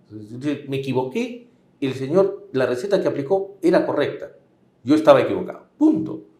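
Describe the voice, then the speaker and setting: A man talks at a fairly quick pace with very wide pitch swings, and audible room echo surrounds him. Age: 60s. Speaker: political commentator. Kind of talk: political interview.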